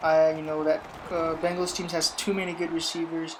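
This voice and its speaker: There is noticeable background noise as a woman talks at a moderate pace in a fairly low pitch. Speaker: gaming YouTuber giving NFL predictions. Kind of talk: casual sports commentary. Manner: loud.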